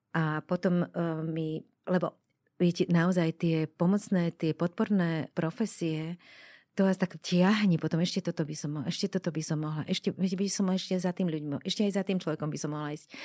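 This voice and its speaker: The voice has a dark, mellow tone and fairly even intonation at a moderate pace, with big swings in loudness, captured in a dry, close sound with no echo on a very clean recording with a silent background. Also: woman, fairly low pitch for a woman. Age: 60s. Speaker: death doula, former TV presenter. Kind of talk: interview. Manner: halting.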